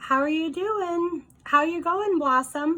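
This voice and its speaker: Using a put-on character voice, a woman talks at an extremely high pitch and a fairly slow pace, with ordinary pitch variation. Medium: read story. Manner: warm, tender.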